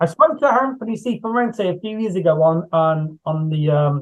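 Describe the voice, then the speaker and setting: A man with an English Midlands accent, fairly high in pitch, with lively intonation at a moderate pace. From England, Coventry area. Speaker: horror author and screenwriter. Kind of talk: casual interview chat. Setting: video call. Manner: repetitive, halting.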